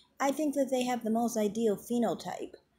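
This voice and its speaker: A woman's dark, mellow voice comes across somewhat breathy. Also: very clean recording, silent background. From US Midwest. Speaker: YouTube commentator. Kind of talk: vlog monologue. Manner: overpronounces words.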